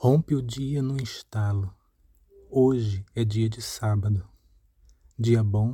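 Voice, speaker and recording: The voice is somewhat breathy, with a very slow pace, fairly even intonation and long, frequent pauses. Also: man. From Paraíba, Brazil (Itabaiana, interior). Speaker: reader of poetry. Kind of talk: reading aloud.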